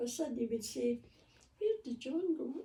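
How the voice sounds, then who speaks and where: A dark, mellow tone in a Scottish accent, with ordinary pitch variation. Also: woman. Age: 80s+. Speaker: grandmother interviewed by family. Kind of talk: casual chat.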